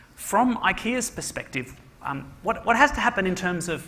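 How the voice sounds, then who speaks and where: A man with an Australian accent talks at a moderate pace with lively intonation. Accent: Australian-sounding. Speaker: panel moderator. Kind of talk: panel discussion.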